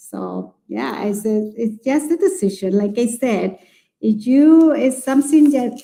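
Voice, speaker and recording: Speaking in a strong Chilean accent at a fairly slow pace, this voice has a dark, mellow tone and lively intonation. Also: woman. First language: Spanish. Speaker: early childhood educator. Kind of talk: live webinar conversation. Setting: live online broadcast. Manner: halting, with many fillers.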